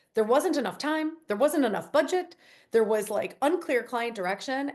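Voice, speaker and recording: A woman speaks with a strong Chicago accent at a fairly quick pace. Her pitch swings very widely. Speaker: company CEO. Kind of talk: interview. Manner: casual, conversational.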